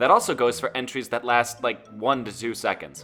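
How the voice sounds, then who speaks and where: A man with music in the background. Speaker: animator running a community collab. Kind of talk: casual instructional talk to viewers. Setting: home microphone, poor quality at start.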